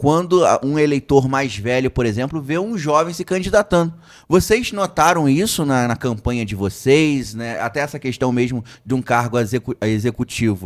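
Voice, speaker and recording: Over a silent background on a very clean recording, an unremarkable speaking voice carries lively intonation. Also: man. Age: 20s. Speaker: podcast host. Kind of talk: podcast interview.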